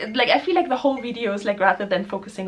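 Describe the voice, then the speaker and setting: A woman is speaking. She has a German accent. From Germany. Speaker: spiritual musician and vlogger. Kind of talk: casual vlog talk. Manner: hesitant, filler-heavy.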